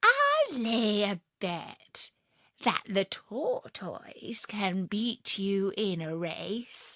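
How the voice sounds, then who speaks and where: At a very slow pace, a woman uses a put-on character voice with a medium pitch. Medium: read story. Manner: knowing, sly.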